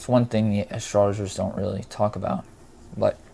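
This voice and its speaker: A man's fairly low, somewhat breathy voice holds a monotone, flat intonation. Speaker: astrology video creator. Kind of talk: monologue lecture. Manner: slow; halting.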